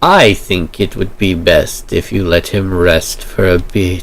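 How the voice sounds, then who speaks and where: The speaker uses a put-on character voice at a fairly slow pace, with very even loudness. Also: man. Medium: actual play. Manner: gentle, composed.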